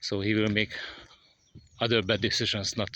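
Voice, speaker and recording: A man speaks with a non-native accent. His voice sits at a medium pitch. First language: not English. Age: 50s. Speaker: vlogger learning English. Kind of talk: casual monologue vlog. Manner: halting, many fillers.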